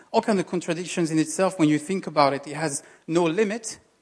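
A man speaks very fast in a French accent, his voice high for a male and its pitch moving in an ordinary way. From France. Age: 30s. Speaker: lay preacher. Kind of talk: sermon. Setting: church stage with audience.

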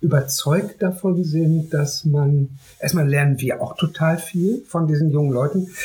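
The speaker has an ordinary speaking voice. The pace is fairly slow. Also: man, very even loudness. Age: 50s. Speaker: artist and youth project founder. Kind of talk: interview.

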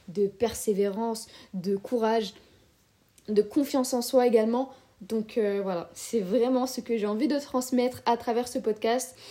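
Speaking at a fairly slow pace, a woman has a fairly high voice with a dark, mellow tone. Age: 20s. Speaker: podcast host and student. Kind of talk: casual solo monologue.

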